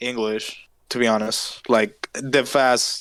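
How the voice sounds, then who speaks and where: A man with a Spanish accent speaks on a very clean recording with a silent background. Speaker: podcast co-host. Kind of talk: casual chat.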